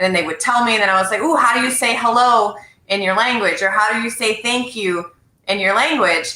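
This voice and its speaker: Her pitch fairly high, a woman talks at a fairly quick pace with ordinary pitch variation. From French Canada. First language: French. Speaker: sales professional and live show host. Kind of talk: casual chat. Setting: video livestream.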